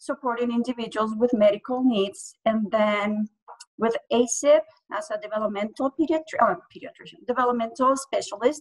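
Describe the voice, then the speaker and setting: With a Spanish accent, a woman speaks at a moderate pace in a fairly high pitch, with ordinary pitch variation, big swings in loudness, and a dry, close sound with no echo. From Colombia. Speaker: early childhood program director. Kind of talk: panel discussion introduction. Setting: video call.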